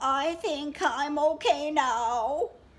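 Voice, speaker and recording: The speaker is a woman using a put-on character voice. Her pitch is high. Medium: read story.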